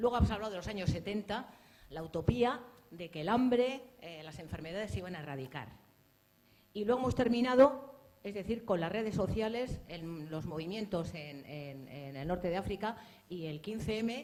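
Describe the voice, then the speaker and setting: A woman's medium-pitched voice at a moderate pace, with very wide pitch swings and big swings in loudness. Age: 60s. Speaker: audience member asking a question. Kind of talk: audience question at book presentation.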